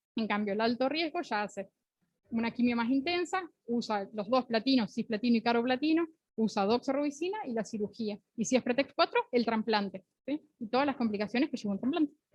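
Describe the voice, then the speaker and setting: This woman's voice is high-pitched, with lively intonation. She talks at a fairly quick pace. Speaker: pediatric oncologist lecturing residents. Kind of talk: lecture. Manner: fast.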